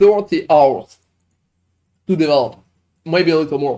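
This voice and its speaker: His voice has a dark, mellow tone. This man's pitch moves up and down in an ordinary way. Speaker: game streamer. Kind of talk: live stream chat. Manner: animated.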